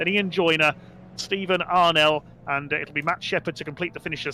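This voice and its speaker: Very fast male speech with a West Midlands accent over background music. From West Midlands, England. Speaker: sim racing commentator. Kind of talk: live commentary. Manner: animated.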